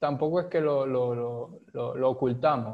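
A man speaks at a very slow pace. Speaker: podcast co-host. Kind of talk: casual chat.

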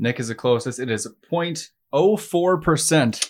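In a very clean recording with a silent background, a man speaks at a moderate pace in a plain, everyday voice with ordinary pitch variation. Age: 20s. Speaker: podcast co-host. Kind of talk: quiz hosting; casual chat. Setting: studio.

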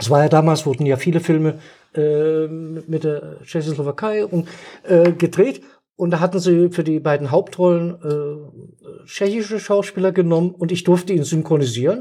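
This man's voice sits high in pitch, with a dark, mellow tone. He speaks at a moderate pace with ordinary pitch variation. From Saxony, eastern Germany (Dresden). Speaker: retired stage actor. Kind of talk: casual chat. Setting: studio at a table. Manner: animated.

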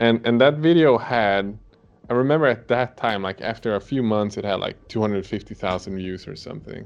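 With music in the background, a man in a Swedish accent talks at a fairly quick pace, medium in pitch with ordinary pitch variation. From Sweden. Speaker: miniature painter and video creator. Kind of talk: casual chat. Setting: video call.

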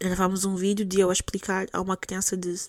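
Delivered at a fairly quick pace, the speech has a dry, close sound with no echo and a very clean recording with a silent background. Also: woman. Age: 20s. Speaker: podcast host. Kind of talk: solo monologue podcast, casual. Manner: code-switching between Portuguese and English.

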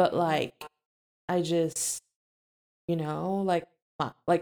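A woman with an American accent and a fairly low pitch, at a very slow pace in monotone, flat intonation, with a dry, close sound and no echo. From Philippines and US. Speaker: podcast co-host. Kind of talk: casual chat.

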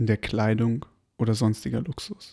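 Medium-pitched man with a calm tone, on a very clean recording with a silent background. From Berlin, Germany. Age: 20s. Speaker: podcast host. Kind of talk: reading aloud. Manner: calm, slow.

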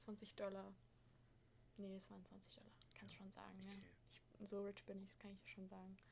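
A woman at a fairly quick pace, broken by long, frequent pauses. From Hesse, Germany (Frankfurt). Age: 20s. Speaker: au pair. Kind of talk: casual chat.

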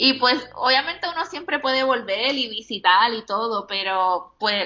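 A woman speaks in a normal speaking voice at a fairly high pitch, moving at a fairly slow pace with lively intonation. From Puerto Rico. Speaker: plus-size fashion blogger. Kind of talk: casual interview.

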